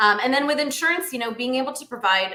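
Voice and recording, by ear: A woman speaks at a fast pace. Her tone is bright and sharp.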